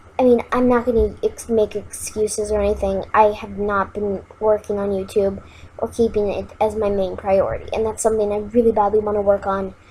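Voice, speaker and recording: A woman speaks at a fairly quick pace with a fairly high pitch. Her tone is dark and mellow, and her intonation is monotone and flat. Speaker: gaming YouTuber. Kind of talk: gameplay commentary. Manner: hesitant, many fillers.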